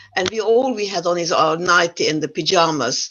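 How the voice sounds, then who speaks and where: The speaker has a non-native accent and talks at a fairly quick pace. The intonation is lively. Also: woman. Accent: foreign accent in English. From Yugoslavia. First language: not English. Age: 80s+. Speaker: Holocaust survivor speaker. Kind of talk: testimony. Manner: halting.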